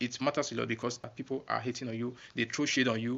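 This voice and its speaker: A man rattles along at a very fast pace, medium in pitch, monotone and flat, with vocal fry. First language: not English. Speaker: YouTuber. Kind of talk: casual vlog talk. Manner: halting.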